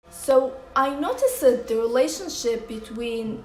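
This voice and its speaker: Through noticeable background noise, a woman with a fairly high pitch speaks in a non-native accent. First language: non-English. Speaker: movie reviewer. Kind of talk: casual talk to camera.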